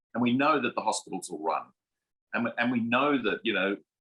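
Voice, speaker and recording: A man is speaking. He has an Australian accent. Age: 60s. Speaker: food company director. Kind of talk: panel discussion.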